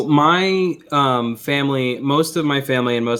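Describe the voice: Intonation is lively as a man talks with an American accent. Noticeable background noise runs behind him.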